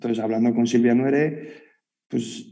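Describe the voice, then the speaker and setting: A man speaks at a moderate pace with a Madrid accent and a medium pitch. His tone is dark and mellow, and his intonation stays fairly even. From Madrid, Spain. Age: 30s. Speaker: sports gear designer. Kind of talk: casual chat. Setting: video call.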